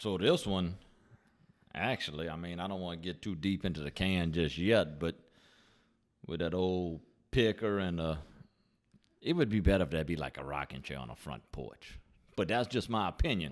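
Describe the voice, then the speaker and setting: A moderate pace broken by long, frequent pauses, in a Louisiana accent, on a very clean recording with a silent background. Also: man, very deep, low pitch for a man, ordinary pitch variation. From southern Louisiana, near the Gulf. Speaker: beer review podcast co-host. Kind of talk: casual chat.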